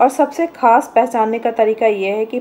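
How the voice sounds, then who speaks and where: The woman's pace is very slow. Her pitch variation is ordinary. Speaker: home cooking channel host. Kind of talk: tutorial. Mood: calm, instructive. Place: kitchen.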